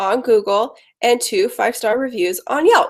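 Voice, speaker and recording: A woman has an ordinary speaking voice. She talks at a moderate pace, and her pitch varies in an ordinary way. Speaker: marketing agency owner. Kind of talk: webinar presentation.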